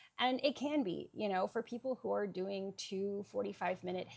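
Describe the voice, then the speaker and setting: A woman's medium-pitched voice at a moderate pace with ordinary pitch variation. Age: 40s. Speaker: fitness vlogger. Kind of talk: vlog monologue. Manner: hesitant, many fillers.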